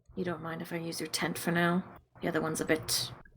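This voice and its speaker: A put-on character voice at a middle pitch, delivered at a very fast pace. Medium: actual play. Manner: gruff, irritable.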